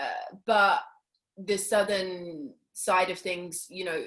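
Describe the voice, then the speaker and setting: This is a woman. She speaks with a London accent. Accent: British (London). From South London, England. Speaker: actress. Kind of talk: interview. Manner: hesitant, many fillers.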